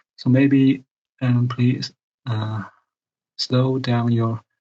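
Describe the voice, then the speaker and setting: A man with a non-native accent speaks at a very slow pace and medium pitch. His voice is somewhat breathy, with monotone, flat intonation. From Asia. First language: not English. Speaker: caller. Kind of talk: casual chat. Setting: video call. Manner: halting, many fillers.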